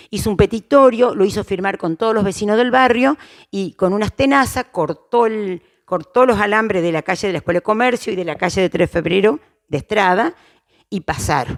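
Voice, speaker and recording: Speaking at a fairly quick pace with lively intonation, a woman with an Argentine Litoral accent is heard in a dry, close sound with no echo on a very clean recording with a silent background. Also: medium pitch for a woman. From Argentina, Crespo, Entre Ríos. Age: 60s. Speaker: interviewee, local elder. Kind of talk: oral history interview. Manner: halting, many fillers and restarts.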